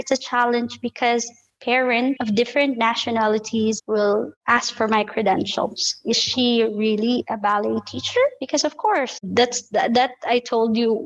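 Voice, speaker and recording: The speaker has a Filipino accent and talks at a fairly slow pace with hardly any pauses. Loudness stays very even and the intonation fairly even. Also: woman, fairly high pitch for a woman. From Philippines. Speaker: ballet teacher. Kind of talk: interview answer.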